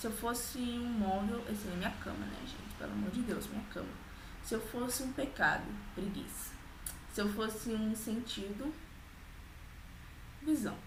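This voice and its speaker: At a moderate pace, a woman speaks at a fairly high pitch with fairly even intonation and long, frequent pauses. Background noise is noticeable, and room echo is audible. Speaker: vlogger. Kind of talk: casual vlog.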